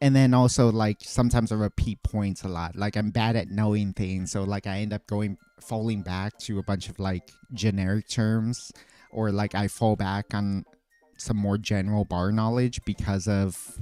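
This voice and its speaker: Monotone and flat, a man with an American accent speaks at a fairly low pitch and moderate pace in a dark, mellow tone, with a dry, close sound and no echo. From California. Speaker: livestreamer and bartender. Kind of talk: casual livestream chat. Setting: home bar livestream. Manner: hesitant, frequent stuttering and filler words; says like a lot.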